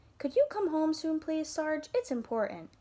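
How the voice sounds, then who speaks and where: Using a squeaky put-on character voice with a warm, gentle tone, a woman speaks at a moderate pace at an extremely high pitch with very wide pitch swings. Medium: read story.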